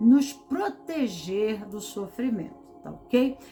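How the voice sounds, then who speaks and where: Music plays in the background as a woman talks at a very slow pace in a calm tone with lively intonation. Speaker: tarot reader and therapist. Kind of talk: tarot reading talk. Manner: slow, with pauses.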